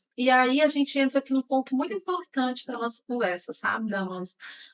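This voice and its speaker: Lively intonation runs through a woman's high-pitched voice. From Brazil, Ceará sertão (Quixadá). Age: 40s. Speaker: podcast host. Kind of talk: interview podcast conversation.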